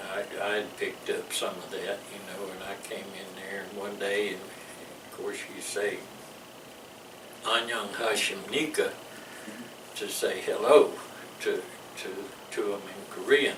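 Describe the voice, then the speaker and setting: In a Louisiana accent, a man speaks at a fairly slow pace with long, frequent pauses and big swings in loudness, amid audible room echo and noticeable background noise. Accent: Louisiana Southern US. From US South. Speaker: military veteran. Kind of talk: oral history interview. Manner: halting, repeats words.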